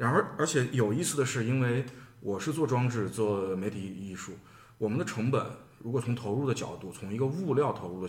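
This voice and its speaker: Slightly breathy, a man speaks at a fairly quick pace with medium pitch and ordinary pitch variation, audible room echo around him. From Shaanxi, Xi'an. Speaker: artist. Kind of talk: podcast conversation.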